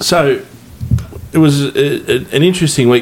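A man speaks with an Australian accent at a medium pitch. Noticeable background noise runs behind him. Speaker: podcast host. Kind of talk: casual chat. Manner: halting.

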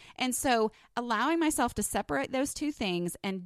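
A woman with a slight Texan accent talks at a moderate pace with lively intonation. The recording is very clean and silent in the background, with a dry, close sound and no echo. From Texas. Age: 30s. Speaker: podcast host and blogger. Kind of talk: solo podcast monologue, casual and personal. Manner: casual, chatty, warm.

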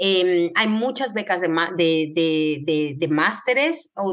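An unremarkable speaking voice, its intonation lively throughout. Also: woman. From Mexico, Querétaro. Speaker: medical geneticist. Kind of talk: interview.

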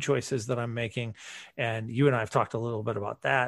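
A man speaks in an unremarkable speaking voice at a medium pitch. His intonation stays fairly even, and the background is quiet. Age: 40s. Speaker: podcaster. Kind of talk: casual chat.

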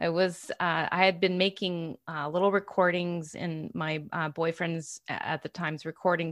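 A woman with a plain, everyday voice, fairly low in pitch, at a fairly slow pace with fairly even intonation, on a very clean recording with a silent background. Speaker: hypnotherapist and author. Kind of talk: casual interview chat.

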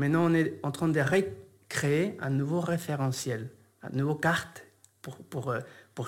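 A man talks at a fairly slow pace in a Spanish accent. His voice is fairly high and somewhat breathy. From Argentina, Buenos Aires. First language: Spanish (speaking French). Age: 40s. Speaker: yoga teacher and shaman. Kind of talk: interview conversation.

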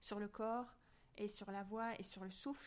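A woman speaks in a monotone, with flat intonation. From southern France, near Marseille. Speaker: scientist and association president. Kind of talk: interview.

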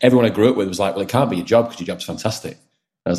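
Talking very fast, a man keeps his pitch fairly low. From northern England (Wigan). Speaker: finance startup founder. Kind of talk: podcast interview.

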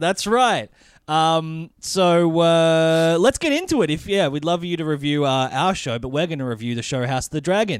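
Over a silent background on a very clean recording, a man with an Australian accent talks at a moderate pace, fairly high in pitch with lively intonation. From Australia (Melbourne). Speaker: podcast host. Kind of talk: casual chat. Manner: laughs often.

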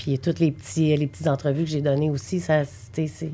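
The voice has a dark, mellow tone with vocal fry. It moves at a fairly quick pace. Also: woman. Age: 40s. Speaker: bereaved mother. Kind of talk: personal testimony. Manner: halting.

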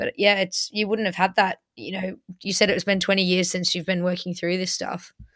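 A woman with an English accent speaks at a moderate pace in a flat monotone, recorded very cleanly against a silent background. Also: medium pitch for a woman. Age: 20s. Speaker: podcast host. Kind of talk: interview.

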